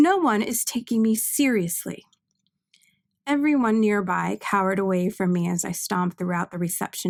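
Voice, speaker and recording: Soft-spoken and lively in intonation, a woman talks at a medium pitch on a very clean recording with a silent background, the sound dry and close with no echo. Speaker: author reading own novel. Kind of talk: audiobook narration.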